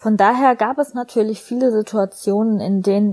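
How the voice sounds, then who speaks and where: At a moderate pace, a woman with a medium pitch, ordinary pitch variation and a dark, mellow tone is speaking. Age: 20s. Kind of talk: recorded personal statement. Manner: scripted, read-aloud style.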